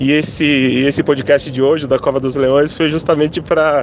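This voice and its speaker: The clip carries clear background noise. Over it, a man talks at an unhurried, middling speed. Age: 30s. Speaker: listener, bank manager. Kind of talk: voice message testimony. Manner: halting.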